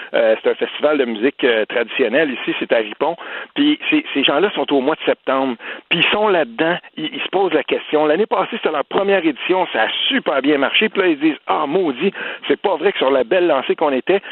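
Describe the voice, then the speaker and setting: In a Quebec accent, a man talks fairly quickly with a fairly high pitch and lively intonation. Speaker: political commentator. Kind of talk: casual chat.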